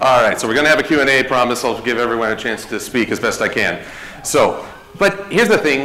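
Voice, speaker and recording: With lively intonation and a fairly quick pace, a man speaks amid audible room echo. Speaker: convention panel host. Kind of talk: presentation to live audience. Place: hall.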